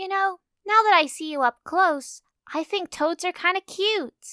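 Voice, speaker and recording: In a squeaky, put-on character voice with ordinary pitch variation, the speaker goes at a moderate pace, recorded dry and close with no echo. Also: woman, extremely high pitch for a woman. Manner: timid, pleading for mercy.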